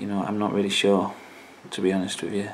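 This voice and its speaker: A man mumbles at a fairly low pitch. His intonation is monotone and flat. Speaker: YouTuber. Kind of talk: casual talk to camera. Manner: hesitant, mumbling.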